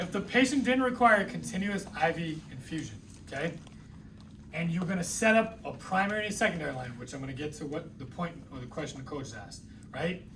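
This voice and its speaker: Speaking fairly quickly with lively intonation and a New England accent, a man with a high-pitched voice is heard amid noticeable background noise and audible room echo. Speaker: nursing instructor. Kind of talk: lecture. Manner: conversational.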